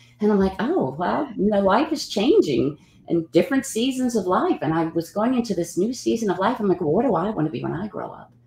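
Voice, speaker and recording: Hardly pausing, a woman talks at a fairly quick pace and medium pitch with very wide pitch swings, while room echo is audible and light background noise sits underneath. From New Orleans, Louisiana. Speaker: actor; interview guest, actor. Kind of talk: interview; interview answer. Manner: halting, with many fillers. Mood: warm, reflective. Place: home room.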